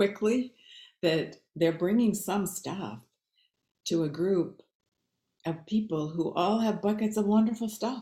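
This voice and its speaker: In a dark, mellow tone, a woman with an American accent talks at a fairly slow pace with ordinary pitch variation and long, frequent pauses. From northern Minnesota. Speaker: author and retired college teacher. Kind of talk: book reading and panel discussion. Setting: video call.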